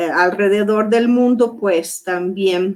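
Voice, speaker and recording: A woman speaks at a very slow pace. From Brazil, Porto Alegre (southern Brazil). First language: Portuguese (speaking Spanish). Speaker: psychoanalyst. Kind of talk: lecture. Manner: halting, many fillers.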